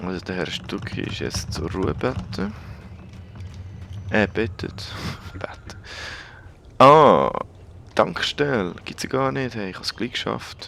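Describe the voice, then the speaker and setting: The speaker goes very slowly, with long, frequent pauses and very wide pitch swings. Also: man. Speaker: let's play gamer. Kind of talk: casual gameplay commentary.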